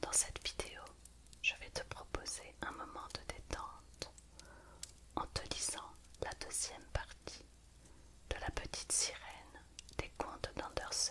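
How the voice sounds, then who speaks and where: The speaker whispers at a very slow pace with long, frequent pauses. There is noticeable background noise. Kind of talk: ASMR intro talk to listener. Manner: whispered; soft, calm.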